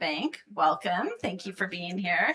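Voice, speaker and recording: A woman is speaking. Noticeable background noise can be heard. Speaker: panel moderator. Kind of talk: panel discussion moderation. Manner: soft-spoken. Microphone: too quiet, needs to speak into mic.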